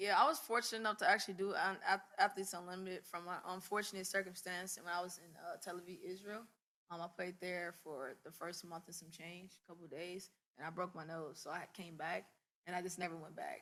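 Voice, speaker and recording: Soft-spoken and fairly quick, a woman talks at a medium pitch with fairly even intonation and a bright, sharp tone, though her loudness swings widely. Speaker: professional basketball player. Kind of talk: press conference.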